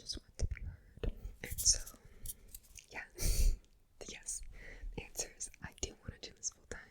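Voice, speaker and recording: A woman whispers at a moderate pace, her loudness swinging widely. She leaves long, frequent pauses. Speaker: ASMR creator. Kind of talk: ASMR whispered Q&A to camera. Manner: whispered, soft-spoken.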